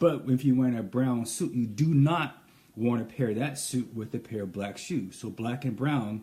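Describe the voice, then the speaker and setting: Somewhat breathy, the man's voice carries a dark, mellow tone. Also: medium pitch for a man, ordinary pitch variation, moderate pace. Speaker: menswear tailor. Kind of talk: live stream style advice.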